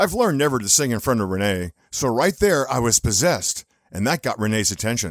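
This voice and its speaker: A man's plain, everyday voice at a medium pitch, fairly quick with lively intonation, dry and close with no echo, on a very clean recording with a silent background. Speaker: radio personality and co-host.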